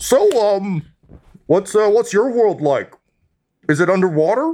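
Someone uses a put-on character voice with a fairly high pitch at a very slow pace. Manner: curious, casual.

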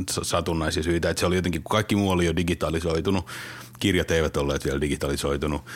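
Noticeable background noise sits behind a man speaking at a very fast pace. His very deep, low pitch shows ordinary variation. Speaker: publisher. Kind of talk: interview.

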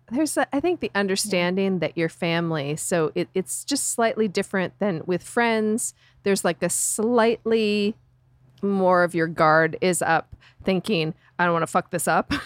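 This woman has a normal speaking voice at a medium pitch, moving at a moderate pace with very even loudness. The recording is very clean with a silent background and a dry, close sound with no echo. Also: ordinary pitch variation. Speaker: book club member. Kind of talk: casual chat.

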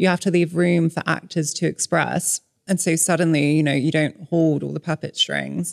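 Speaking at a moderate pace, a woman with a fairly low pitch uses monotone, flat intonation, with vocal fry running through her voice. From Hong Kong and Malaysia. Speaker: author. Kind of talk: casual chat.

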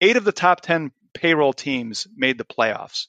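The voice has a bright, sharp tone and an American accent, recorded dry and close with no echo against a quiet background. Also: man. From Chicago. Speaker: podcast host and sports editor. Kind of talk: casual chat.

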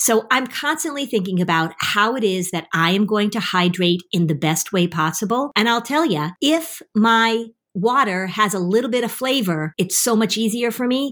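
A woman with an unremarkable speaking voice talks at a moderate pace, her pitch fairly high and her intonation lively, with hardly any pauses. The recording is very clean, with a silent background. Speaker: podcast host and therapist. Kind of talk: infomercial-style sponsor ad read. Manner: brisk, upbeat, salesy; rattling off product benefits.

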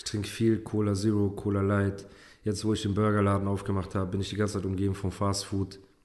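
Speaking very fast in a monotone, flat intonation, a man's voice sits fairly low in pitch. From Heidelberg area, Germany. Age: 30s. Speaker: rapper. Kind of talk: casual chat. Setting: studio.

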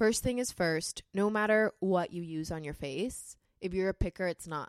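With an American accent, a woman speaks in a plain, everyday voice at a medium pitch and moderate pace, with ordinary pitch variation and a dry, close sound with no echo. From California. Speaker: model and content creator. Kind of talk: casual chat.

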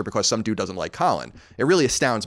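A man's very fast speech with an American accent and vocal fry, on a very clean recording with a silent background. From New York. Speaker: video game podcast host. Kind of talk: casual chat. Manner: fast talker; sardonic.

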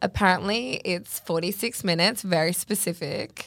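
A woman with an Australian accent speaks at a fairly slow pace with ordinary pitch variation on a very clean recording with a silent background. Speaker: podcast co-host, social media influencer. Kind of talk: casual chat.

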